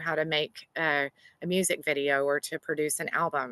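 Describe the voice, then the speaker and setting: In a Southern US accent, a woman speaks with a bright, sharp tone, the sound dry and close with no echo and the background quiet. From US South. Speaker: grant writer. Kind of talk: workshop presentation.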